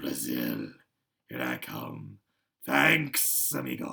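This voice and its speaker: In a put-on character voice, a man speaks very slowly with a very deep, low pitch, raspy and hissing. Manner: slow and hissing.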